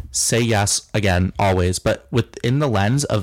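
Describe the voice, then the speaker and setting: A man in an American accent with ordinary pitch variation. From Oregon, US West Coast. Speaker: student entrepreneur, app founder. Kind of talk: interview.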